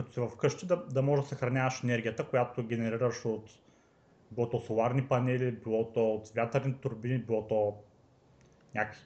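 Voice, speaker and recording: Pitched in the medium range, a man talks at a moderate pace. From Bulgaria, Varna. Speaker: software developer. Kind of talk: casual chat.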